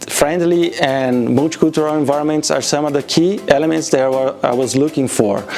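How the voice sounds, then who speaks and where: A man with a Portuguese accent and a fairly high pitch talks over music in the background. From Brazil. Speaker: automation engineer. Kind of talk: interview answers.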